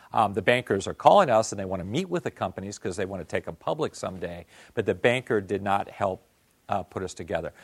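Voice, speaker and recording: In a very clean recording with a silent background and a dry, close sound with no echo, a man speaks with an American accent. His voice is fairly low, with ordinary pitch variation, and his pace is very fast. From US Northeast. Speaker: venture capitalist. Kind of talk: lecture. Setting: stage with audience.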